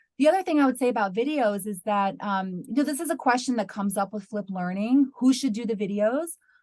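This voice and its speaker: A woman with an American accent talks very fast with hardly any pauses, in a fairly high, somewhat breathy voice with lively intonation. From US, New York. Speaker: university lecturer in English language teaching. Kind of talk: webinar Q&A answer.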